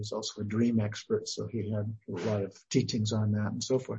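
At a fairly quick pace, a man talks with a somewhat breathy voice at medium pitch. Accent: American. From Idaho, US. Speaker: Buddhist teacher and retired professor. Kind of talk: interview.

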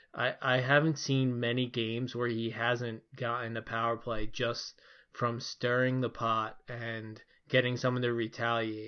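At a fairly slow pace, a man with an American accent speaks at a medium pitch with a monotone, flat intonation. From Philadelphia, US. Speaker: podcast host. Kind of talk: casual chat. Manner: halting, filler-heavy.

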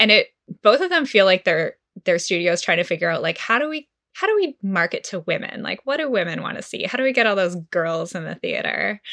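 Recorded with a dry, close sound and no echo, a woman talks at a fairly quick pace. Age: 30s. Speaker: freelance journalist. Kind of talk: casual chat.

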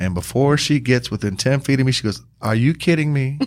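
Lively intonation and an American accent come through on a very clean recording with a silent background. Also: man. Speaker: podcast host, volunteer with sheriff's office, former police motorcyclist. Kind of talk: casual interview chat, joking. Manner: jokey, animated, self-deprecating.

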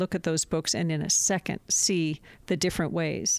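Recorded very cleanly with a silent background and a dry, close sound with no echo, a woman with an unremarkable speaking voice and fairly low pitch talks at a moderate pace. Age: 60s. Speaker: documentary filmmaker. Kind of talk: interview conversation.

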